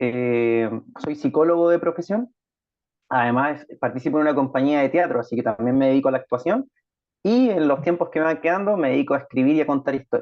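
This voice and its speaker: A man speaks with a Chilean accent at a fairly quick pace. His pitch is fairly high, with ordinary variation. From Chile, Concepción. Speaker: writer. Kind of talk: interview.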